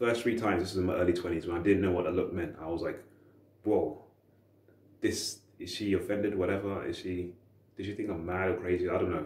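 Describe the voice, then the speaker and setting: A man's very deep, low voice sounds somewhat breathy with fairly even intonation. Room echo is audible around him. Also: fairly quick pace. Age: 30s. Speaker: dating advice youtuber. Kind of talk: casual monologue to camera. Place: home room. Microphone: camera far.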